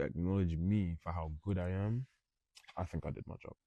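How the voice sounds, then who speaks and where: A man speaks with a London accent at a moderate pace, his very deep, low voice dark and mellow. The sound is dry and close, with no echo. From North London. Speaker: professional boxer. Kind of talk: interview. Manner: casual.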